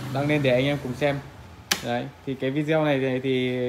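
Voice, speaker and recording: A man talks at a fairly slow pace. Music plays in the background. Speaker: solar equipment seller. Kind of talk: product walkthrough commentary. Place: shop. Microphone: phone near.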